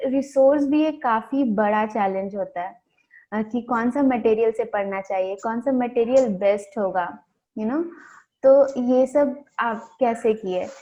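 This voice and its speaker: Fairly high in pitch, a woman uses a normal speaking voice with ordinary pitch variation. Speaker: non-profit education worker. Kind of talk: interviewer questions, Hindi-English mix.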